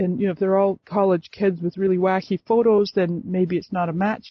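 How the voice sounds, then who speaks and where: The pace runs fairly quick. An American accent is heard. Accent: slight Scottish-tinged North American. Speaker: Facebook expert and coach. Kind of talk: interview. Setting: phone call.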